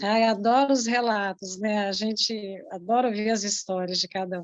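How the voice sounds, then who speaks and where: With an unremarkable speaking voice, a woman talks at a moderate pace, fairly high-pitched and fairly even in intonation, though her volume rises and falls sharply. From Brazil, Rio de Janeiro, Baixada Fluminense. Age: 50s. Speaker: writer, workshop guest. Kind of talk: personal introduction in online workshop.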